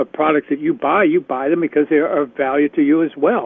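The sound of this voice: A man talks at a fairly quick pace and fairly high pitch, with ordinary pitch variation, vocal fry, a slightly husky edge, and a dry, close sound with no echo.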